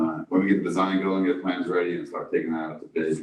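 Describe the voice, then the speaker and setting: A man with a very deep, low voice and an American accent. He talks very fast with fairly even intonation. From New York. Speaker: district engineer. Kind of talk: public meeting report. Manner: halting, many fillers.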